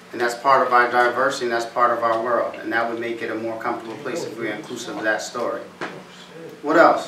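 With an American accent, a man talks at a very fast pace with big swings in loudness over noticeable background noise. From US Northeast, East Hartford, Connecticut; Connecticut. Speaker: motivational speaker. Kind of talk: talk to students. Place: classroom. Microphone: camera far.

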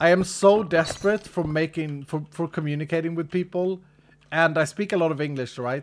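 In a Swedish accent, a man talks at a fairly quick pace with ordinary pitch variation over light background noise. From Sweden. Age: 40s. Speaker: gaming streamer. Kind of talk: live stream chat while gaming. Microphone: studio mic.

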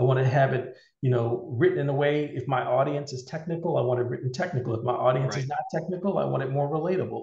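A man talks at a very fast pace with ordinary pitch variation, his voice carrying audible room echo over a quiet background. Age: 50s. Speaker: cybersecurity leader and military veteran; interview guest. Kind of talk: interview. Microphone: video call.

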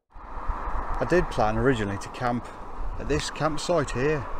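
A man with ordinary pitch variation, in a dry sound with no echo and with noticeable background noise. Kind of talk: casual vlog chat. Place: open country. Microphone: phone near.

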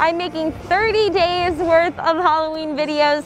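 Crowd noise fills the background. The voice itself sounds dry, with no echo. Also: woman. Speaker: vlogger host. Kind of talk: casual vlog chat. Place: street.

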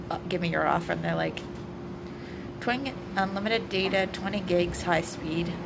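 Loud background noise sits under speech that moves at a fairly quick pace. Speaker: vlogger. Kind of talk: casual vlog chat. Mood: amused, chatty. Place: street. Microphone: phone near.

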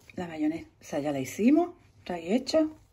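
A woman talks at a fairly quick pace with a fairly low pitch and big pitch swings. Her tone is dark and mellow, with a husky, rough edge.

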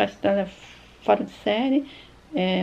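At a fairly slow pace, a woman speaks. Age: 50s. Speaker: YouTuber, retired veterinarian. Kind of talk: personal life story narrated over photos.

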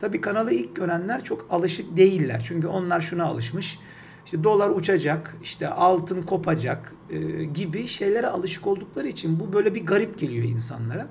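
There is light background noise as a man speaks at a moderate pace with hardly any pauses. His pitch is high and his intonation lively. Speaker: financial markets commentator; market commentator. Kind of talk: market analysis talk. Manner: hesitant with many fillers; unedited one-take delivery. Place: home room. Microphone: webcam.

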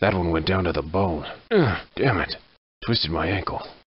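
In a put-on character voice, a man speaks at a moderate pace. The sound is raspy and very deep, low in pitch. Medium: dub. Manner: gruff, wry.

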